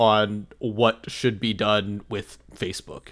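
A man is speaking. His pace is very slow. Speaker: podcast host. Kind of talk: casual chat. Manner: jokey, talkative.

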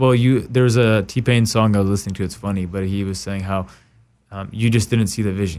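A man with a fairly low pitch and ordinary pitch variation talks at a fairly quick pace in a very clean recording with a silent background. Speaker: talk show host. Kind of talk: casual interview. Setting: studio. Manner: animated.

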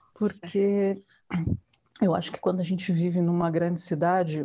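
A plain, everyday voice: a woman at a fairly low pitch, moderate pace and fairly even intonation. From São Paulo, Brazil. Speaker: yoga teacher, former journalist. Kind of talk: interview.

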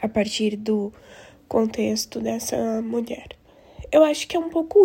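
The voice has a dark, mellow tone and sounds somewhat breathy. It moves at a fairly slow pace. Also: woman. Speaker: researcher. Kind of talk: testimony.

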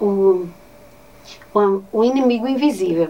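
A woman with a northeastern Brazilian accent, medium in pitch with ordinary pitch variation, amid noticeable background noise. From Ceará, Brazil (Nova Olinda, Cariri). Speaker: teacher. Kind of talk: interview.

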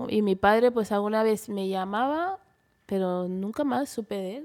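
A woman of medium pitch talks at a moderate pace with ordinary pitch variation, in an ordinary speaking voice. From Spain and Equatorial Guinea. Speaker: model. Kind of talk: interview.

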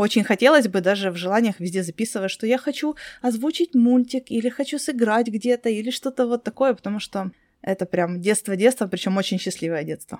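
In a normal speaking voice, a woman talks fairly quickly at a fairly high pitch with ordinary pitch variation, on a very clean recording with a silent background and a dry, close sound with no echo. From Crimea. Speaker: podcast host. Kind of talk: interview.

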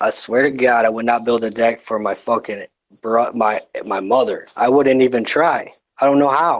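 Speaking at a moderate pace, a man has a plain, everyday voice. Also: medium pitch for a man, fairly even intonation. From northern Michigan. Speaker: small business owner. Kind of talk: casual chat.

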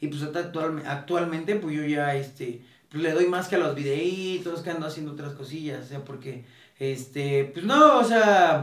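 A man talks at a moderate pace with ordinary pitch variation. Some room echo can be heard. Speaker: sneaker reseller. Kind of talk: casual interview. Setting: at his home. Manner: relaxed.

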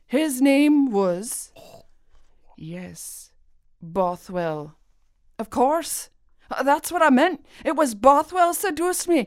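In a very clean recording with a silent background, a woman speaks at a high pitch and a very slow pace, with long, frequent pauses. Her pitch swings very widely and her loudness swings a lot. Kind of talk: period play, dramatic reading. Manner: pleading, frightened, trembling in character.

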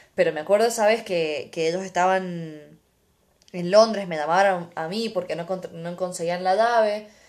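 Her pitch medium and her pace moderate, a woman talks with fairly even intonation. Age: 20s. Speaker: podcast host. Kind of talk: casual chat.

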